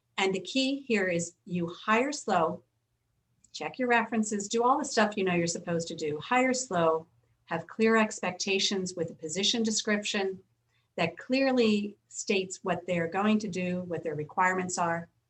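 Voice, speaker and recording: A woman speaks at a medium pitch. Her voice is somewhat breathy, with ordinary pitch variation. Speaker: business attorney. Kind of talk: webinar talk with Q&A. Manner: fast.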